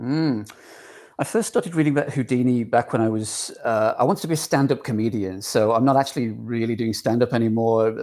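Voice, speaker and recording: A man talks at a fairly quick pace with an English accent. His dark, mellow voice sits at medium pitch with ordinary pitch variation. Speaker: author and magazine editor. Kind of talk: casual interview conversation.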